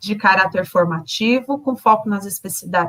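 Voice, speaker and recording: A plain, everyday voice, moderately paced, its intonation lively. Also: woman. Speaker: education trainer. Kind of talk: online teacher training presentation.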